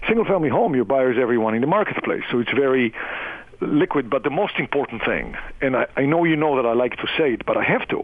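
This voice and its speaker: With a slight non-native accent, a man talks at a fairly quick pace in a fairly high pitch with lively intonation. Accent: foreign accent, slight. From outside the US. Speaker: real estate investment executive. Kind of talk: radio interview.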